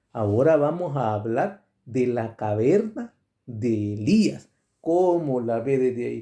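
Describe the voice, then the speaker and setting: The voice moves at a very slow pace with a dark, mellow tone. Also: man. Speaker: preacher. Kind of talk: sermon. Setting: radio broadcast. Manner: deliberately slowed, careful articulation; jokey, conversational asides.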